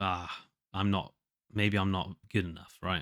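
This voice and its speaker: This man's voice is nasal and fairly low, with a bright, sharp tone. He speaks at a very slow pace on a very clean recording with a silent background. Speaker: solo podcaster and indie musician. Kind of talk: casual diary monologue. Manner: halting, many fillers and restarts.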